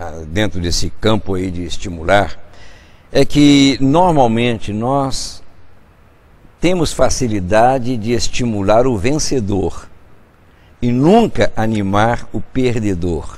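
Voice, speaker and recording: A man speaks very slowly with lively intonation, taking long, frequent pauses amid audible room echo. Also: medium pitch for a man. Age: 70s. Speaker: bishop and radio show host. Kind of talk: religious talk show discussion.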